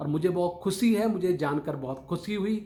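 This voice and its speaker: A man's high voice with ordinary pitch variation. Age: 60s. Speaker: motivational speaker. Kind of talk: motivational talk to camera. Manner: formal.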